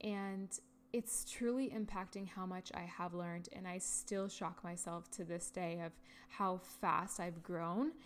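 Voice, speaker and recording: At a fairly slow pace, a woman with a Canadian accent speaks in a medium pitch with ordinary pitch variation. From Canada, Ontario. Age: 20s. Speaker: podcast host, HR director. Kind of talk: solo podcast monologue. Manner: casual, conversational.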